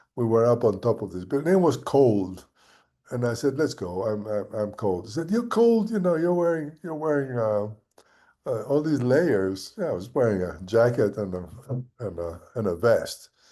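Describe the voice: This man's voice has a dark, mellow tone and a medium pitch. He talks at a moderate pace with lively intonation.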